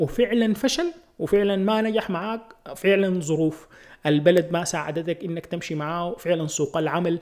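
This man has a high pitch, ordinary pitch variation and a moderate pace. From Sudan. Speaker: podcast host and video creator. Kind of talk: solo podcast monologue. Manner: casual, hesitant with fillers.

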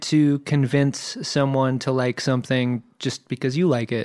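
This man has a plain, everyday voice, a fairly high pitch and an American accent, speaking at a fairly slow pace. The sound is dry and close, with no echo. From Virginia Beach, US. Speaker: podcast host, guest. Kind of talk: casual chat.

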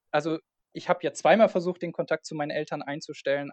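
In a plain, everyday voice, a man with a fairly high pitch and ordinary pitch variation talks in a dry, close sound with no echo. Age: 20s. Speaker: freelance online marketer. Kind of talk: casual interview.

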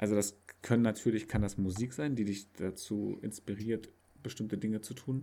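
This man's fairly low voice has a dark, mellow tone. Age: 30s. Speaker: podcast co-host. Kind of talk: casual chat.

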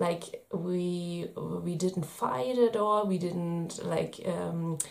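Her voice carries a German accent. This woman speaks at a fairly low pitch with ordinary pitch variation. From Germany. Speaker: parenting vlogger. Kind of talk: video tips monologue. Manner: hesitant, many fillers.

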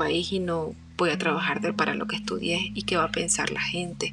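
A woman speaks at a moderate pace as music plays in the background. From Venezuela, Barquisimeto. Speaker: podcast host and author. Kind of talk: inspirational monologue.

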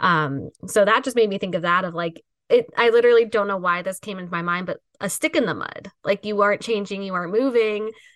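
At a fairly quick pace, a woman speaks in a plain, everyday voice at a medium pitch with ordinary pitch variation, the sound dry and close with no echo. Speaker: podcast host. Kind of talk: interview.

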